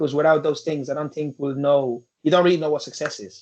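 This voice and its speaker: Fairly high for a man, this voice has an Irish accent and fairly even intonation. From Nigeria, raised in Ireland from about age eleven. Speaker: football coach, former professional footballer. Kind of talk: interview. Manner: halting, many fillers.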